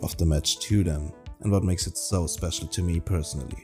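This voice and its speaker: Over music in the background, a man speaks fairly quickly in a very deep, low pitch with ordinary pitch variation. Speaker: podcast host. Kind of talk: podcast intro.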